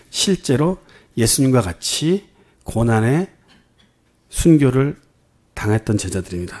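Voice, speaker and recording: On a very clean recording with a silent background, a man speaks at a very slow pace. His tone is dark and mellow, his intonation lively. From Korea, Jeonju (Jeolla). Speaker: pastor. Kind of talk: sermon.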